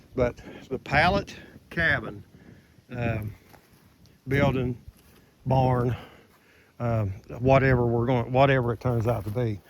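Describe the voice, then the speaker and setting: Noticeable background noise runs under a man's medium-pitched voice. He talks at a fairly slow pace with long, frequent pauses. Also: ordinary pitch variation. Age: 60s. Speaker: DIY builder vlogger. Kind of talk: casual video walkthrough. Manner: halting, many fillers.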